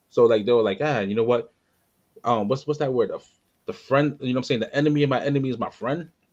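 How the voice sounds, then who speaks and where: Talking at a very fast pace, a man with a New York accent has a medium-pitched voice. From New York area. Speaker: podcast host. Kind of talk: casual chat. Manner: halting.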